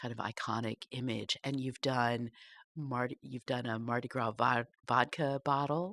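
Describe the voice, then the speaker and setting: The recording is very clean, with a silent background and a dry, close sound with no echo. Speech comes at a moderate pace with fairly even intonation. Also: woman, very deep, low pitch for a woman. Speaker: podcast host. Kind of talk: casual interview.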